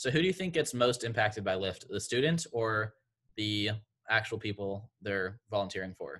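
Bright and sharp in tone, a man with a fairly low pitch talks at a moderate pace with lively intonation. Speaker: podcast co-host. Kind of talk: interview conversation. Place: home room. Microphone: video call.

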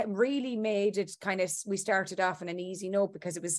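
Over a quiet background, a woman talks at a fairly quick pace with fairly even intonation. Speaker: interviewed actress. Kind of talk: interview answer. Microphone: video call.

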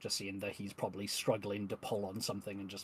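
A man's fairly low voice with little pitch movement, at a fast pace

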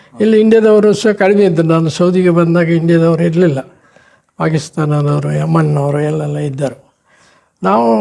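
The speaker is a man with a fairly high pitch. His tone is dark and mellow, with ordinary pitch variation. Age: 70s. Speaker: retired Gulf expatriate worker and social worker. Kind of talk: interview, life story.

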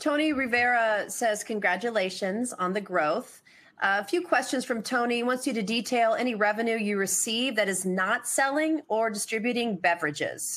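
With a normal speaking voice, a woman talks at a moderate pace in a fairly high pitch, using lively intonation and hardly any pauses. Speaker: conference host. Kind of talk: conference moderation, scripted intro and Q&A. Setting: online webcast.

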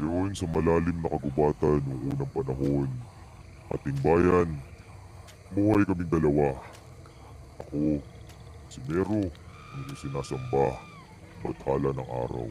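In a put-on character voice with a very deep, low pitch, a man talks at a fairly slow pace, leaving long, frequent pauses over clear background noise. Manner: solemn, paternal, grave.

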